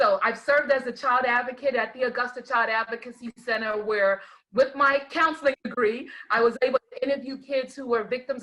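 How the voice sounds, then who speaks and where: A woman's high, bright, sharp voice with an American accent, fairly even intonation and a moderate pace. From New York. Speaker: life coach and educator. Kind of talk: online talk show chat.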